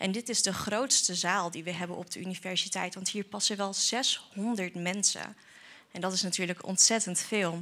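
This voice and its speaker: A woman speaks at a moderate pace and medium pitch. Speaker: student presenter. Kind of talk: event hosting for children. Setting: lecture hall with audience. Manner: energetic. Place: hall. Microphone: handheld.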